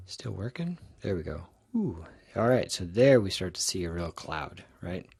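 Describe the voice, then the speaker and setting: The slightly breathy voice keeps to a medium pace, its pitch rising and falling in a normal way. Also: man, very deep, low pitch for a man. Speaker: statistics professor. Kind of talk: recorded lecture tutorial. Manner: casual with fillers and restarts.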